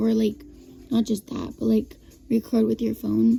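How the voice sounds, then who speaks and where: Music in the background behind a woman speaking at a moderate pace. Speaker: vlogger. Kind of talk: casual vlog monologue. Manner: halting, many fillers and restarts.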